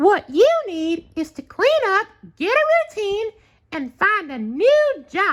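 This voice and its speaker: Putting on a character voice, a man speaks at a fairly slow pace in an extremely high pitch with very wide pitch swings. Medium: read story.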